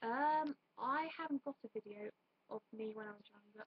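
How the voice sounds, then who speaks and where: A woman's fairly high voice, dry with no echo. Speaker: YouTuber. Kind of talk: casual vlog monologue. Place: home room. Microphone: webcam.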